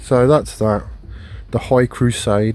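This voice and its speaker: Noticeable background noise runs throughout. A man speaks at a moderate pace. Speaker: collector vlogger. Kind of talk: casual vlog monologue. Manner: hesitant, many fillers.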